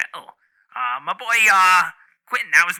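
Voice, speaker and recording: Putting on a character voice, a man speaks high in pitch at a moderate pace. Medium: actual play. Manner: touchy, evasive, blustering.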